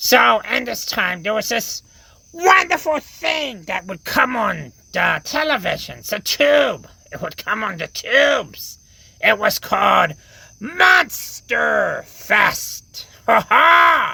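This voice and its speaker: Putting on a character voice, a man speaks at a very slow pace. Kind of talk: comic overacting. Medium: audio drama. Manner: rambling, stammering, self-correcting.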